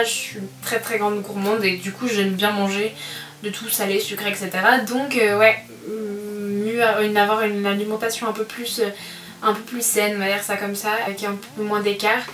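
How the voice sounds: Against faint background noise, a woman speaks at a moderate pace and medium pitch with a fairly bright tone and little pitch movement.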